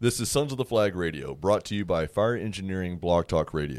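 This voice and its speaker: A man speaks at a very fast pace with a very deep, low pitch. His pitch varies in an ordinary way. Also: very clean recording, silent background. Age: 30s. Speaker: radio host. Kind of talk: interview.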